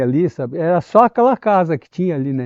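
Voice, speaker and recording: This man's high-pitched voice moves with lively intonation. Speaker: longtime resident. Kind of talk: oral history interview.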